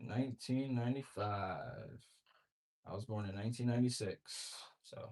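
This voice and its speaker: A man with a somewhat breathy voice speaks at a moderate pace, his intonation fairly even. He leaves long, frequent pauses. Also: medium pitch for a man, big swings in loudness. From Louisiana. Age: 20s. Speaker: real estate wholesaler cold-calling sellers. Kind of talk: sales phone call.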